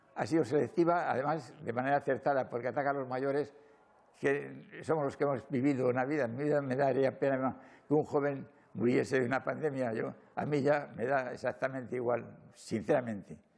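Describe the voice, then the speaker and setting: A man talks at a fairly quick pace and a medium pitch, with vocal fry. His intonation stays fairly even. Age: 80s+. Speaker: retired military man. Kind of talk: interview.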